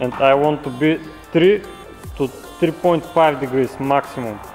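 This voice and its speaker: A man's voice comes through with clear music in the background. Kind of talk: tutorial. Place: garage.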